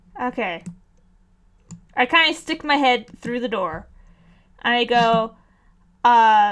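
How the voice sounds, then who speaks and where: A loud woman speaks at a very slow pace in a high pitch, with ordinary pitch variation and long, frequent pauses. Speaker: tabletop game player. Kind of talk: casual chat.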